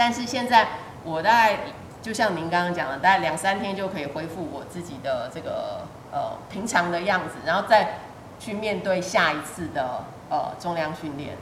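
Lively intonation and big swings in loudness mark this woman's medium-pitched speech at a moderate pace. Audible room echo and noticeable background noise fill the recording. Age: 50s. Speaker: fitness student sharing surgery recovery story. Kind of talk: interview testimony.

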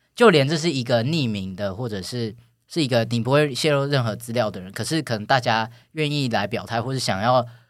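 This man talks at a fairly quick pace in a medium pitch. His pitch varies an ordinary amount. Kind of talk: casual chat. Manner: halting, many fillers.

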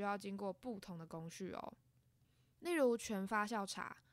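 Lively intonation marks a woman's medium-pitched voice. She speaks fairly slowly. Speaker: podcast host. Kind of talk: scripted narration. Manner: soft-spoken.

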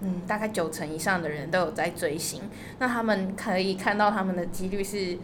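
Noticeable background noise and audible room echo accompany a woman's voice. She speaks at a medium pitch with a fairly quick pace and fairly even intonation. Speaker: travel agency worker. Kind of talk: interview.

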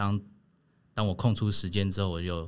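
Fairly low-pitched male voice in a very clean recording with a silent background. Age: 30s. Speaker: family caregiver. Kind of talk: casual chat. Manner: hesitant, many fillers.

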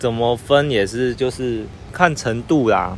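This man talks at a very slow tempo. His pitch moves in an ordinary way. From Taiwan. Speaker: student living abroad. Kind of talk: interview. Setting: outdoors in a park. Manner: halting.

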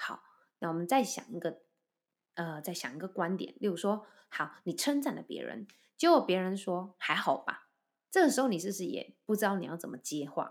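Woman at medium pitch and moderate pace, with very wide pitch swings and big swings in loudness, on a very clean recording with a silent background. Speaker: voice and speech coach, podcast host. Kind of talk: solo podcast talk. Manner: relaxed, light humorous tone.

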